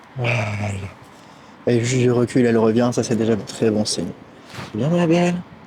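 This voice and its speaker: A man with a medium pitch talks at a moderate pace, with ordinary pitch variation and long, frequent pauses. Audible room echo and noticeable background noise surround him. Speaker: horse trainer. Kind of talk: outdoor tutorial vlog.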